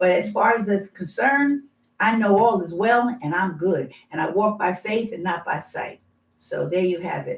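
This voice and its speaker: Somewhat breathy and at a moderate pace, a woman speaks at a medium pitch with lively intonation. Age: 70s. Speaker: patient sharing healing testimony. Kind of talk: testimony. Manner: animated.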